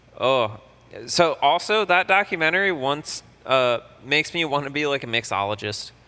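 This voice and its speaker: A man with a fairly high pitch speaks at a moderate pace with lively intonation in an unremarkable speaking voice. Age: 20s. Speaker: podcast co-host. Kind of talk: casual chat.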